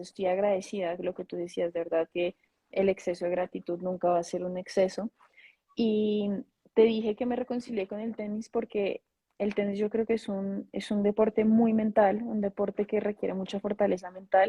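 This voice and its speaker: A woman with a Bogotá accent, somewhat breathy, in a flat monotone. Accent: Bogotá Colombian Spanish. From Colombia, Bogotá. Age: 20s. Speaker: former tennis player, sports manager. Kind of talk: interview.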